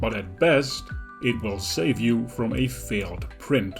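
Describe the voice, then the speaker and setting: Speaking at a fairly slow pace with lively intonation, a man with a medium-pitched voice and a non-native accent talks over background music. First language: not English. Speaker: 3D printing hobbyist. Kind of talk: tutorial narration.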